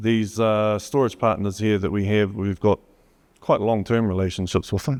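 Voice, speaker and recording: With a New Zealand accent, a man speaks at a moderate pace and fairly low pitch in a dark, mellow tone. His intonation is monotone and flat, and the sound is dry and close with no echo. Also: very clean recording, silent background. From New Zealand, Gisborne. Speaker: HPC company solutions presenter. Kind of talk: conference talk.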